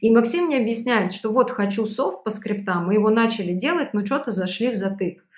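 Speech comes fairly fast. The voice has a somewhat breathy quality and ordinary pitch movement. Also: woman. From Belarus. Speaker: sales trainer and startup founder. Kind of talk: interview.

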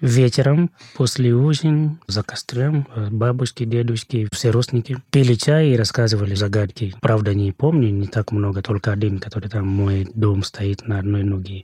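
A man's somewhat breathy voice at medium pitch, dark and mellow in tone, at a moderate pace with ordinary pitch variation, in a dry, close sound with no echo. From Kenya, Nakuru. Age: 30s. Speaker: podcast guest from Kenya. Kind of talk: casual chat.

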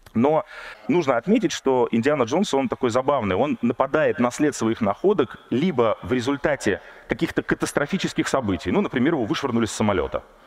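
Noticeable background noise accompanies a man with a fairly high pitch and lively intonation, his loudness very even and the sound dry and close with no echo. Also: fairly quick pace. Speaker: archaeologist. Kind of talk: public lecture. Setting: stage with audience.

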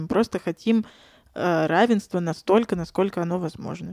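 In a very clean recording with a silent background and a dry, close sound with no echo, a woman with a normal speaking voice talks at a moderate pace, her pitch fairly low and her intonation fairly even. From Saint Petersburg, Russia. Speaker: former English teacher. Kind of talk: casual chat.

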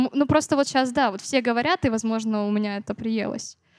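Heard in a dry, close sound with no echo, a woman with a fairly high pitch speaks in a plain, everyday voice with ordinary pitch variation. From Siberia, Novokuznetsk. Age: young. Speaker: singer-songwriter. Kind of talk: interview.

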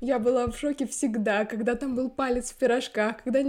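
A woman talking at a very fast pace, ordinary pitch variation, and noticeable background noise behind her. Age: 20s. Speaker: podcast host and editor. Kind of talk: casual chat.

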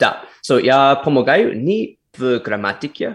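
The speaker has an American accent and ordinary pitch variation against a quiet background. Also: man. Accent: American accent in Russian. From United States. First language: English (speaking Russian). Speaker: former actor, English communication coach. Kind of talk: casual interview. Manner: halting, mixing Russian, Polish and English.

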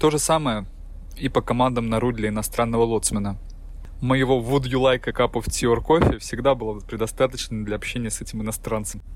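At a fairly quick pace, a man with a medium pitch and fairly even intonation speaks in a plain, everyday voice. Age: 30s. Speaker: ship's officer. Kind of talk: prepared monologue.

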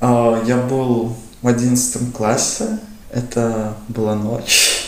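A man at medium pitch, with noticeable background noise and audible room echo. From Latvia, Riga. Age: 20s. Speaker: youth sports organizer. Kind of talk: casual interview.

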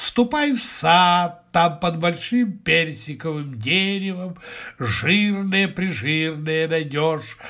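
A man does a put-on character voice, bright and sharp in tone at a fairly high pitch. He talks slowly with lively intonation and few pauses.

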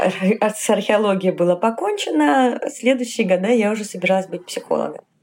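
A woman talks in a plain, everyday voice at medium pitch, with ordinary pitch variation and hardly any pauses. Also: moderate pace. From Tajikistan, later Kharkiv, Ukraine. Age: 40s. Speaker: LGBT rights activist. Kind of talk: interview.

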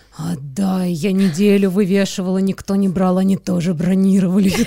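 A woman talks at a medium pitch. Noticeable background noise runs under her voice. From Moscow, Russia. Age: 30s. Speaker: podcast host. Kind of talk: casual interview.

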